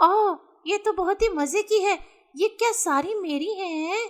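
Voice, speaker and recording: A female-sounding voice performs a cartoonish character voice at an extremely high pitch for a woman. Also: moderate pace. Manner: cartoonish, lively.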